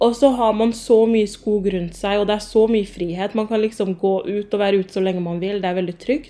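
A woman keeps a moderate pace, her pitch moving with ordinary variation. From Oslo, Romsås. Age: 20s. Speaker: podcast host. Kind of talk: casual Q&A monologue.

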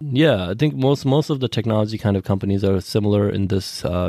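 A man talks at a fairly quick pace in a dry, close sound with no echo, on a very clean recording with a silent background. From India (Tibetan exile community), moved to US around age ten. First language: Tibetan. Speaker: tech consultant. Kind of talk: interview. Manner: casual with many fillers.

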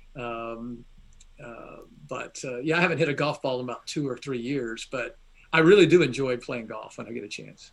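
A man with a Southern US accent speaks at a moderate pace in a medium pitch, with ordinary pitch variation and big swings in loudness. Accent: faint Southern US. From Atlanta, Georgia, US South. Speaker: seminary professor and online theology teacher. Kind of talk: casual interview chat. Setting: video call or remote interview.

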